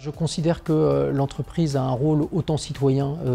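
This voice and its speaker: Noticeable background noise runs under a man's fairly high voice. He keeps a moderate pace and fairly even intonation. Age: 40s. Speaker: company director. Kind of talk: interview portrait. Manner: hesitant, frequent fillers.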